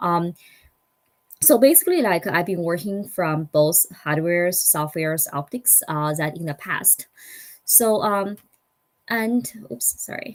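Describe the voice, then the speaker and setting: A woman with a non-native accent and a fairly low pitch talks at a fairly slow pace, using lively intonation and long, frequent pauses. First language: not English. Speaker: startup founder and engineer. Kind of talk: conference talk. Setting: online summit. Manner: halting.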